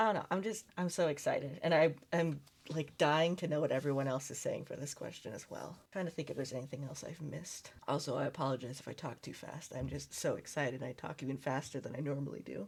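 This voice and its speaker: The speaker mumbles at a very fast pace with hardly any pauses. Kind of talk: casual vlog monologue. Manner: mumbling.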